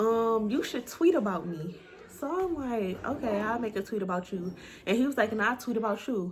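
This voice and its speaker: With an animated tone and lively intonation, a woman speaks at a moderate pace in a fairly high, somewhat breathy voice. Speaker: YouTuber. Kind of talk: storytime.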